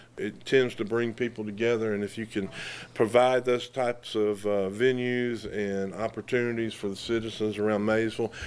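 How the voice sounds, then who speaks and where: Speaking at a moderate pace, a man with an American accent keeps a medium pitch and a monotone, flat intonation. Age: 60s. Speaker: local political candidate. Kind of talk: casual interview.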